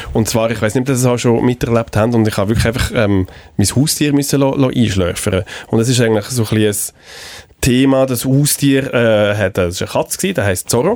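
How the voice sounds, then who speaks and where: A man with an unremarkable speaking voice, medium in pitch with ordinary variation, talks at a moderate pace with very even loudness and hardly any pauses. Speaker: radio executive and podcast co-host. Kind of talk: casual chat.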